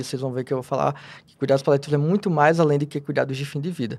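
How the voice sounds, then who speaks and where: He is a man with an ordinary speaking voice, fairly high in pitch, with ordinary pitch variation. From Rio Grande do Norte, Brazil. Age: 30s. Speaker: palliative care physician. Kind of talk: interview.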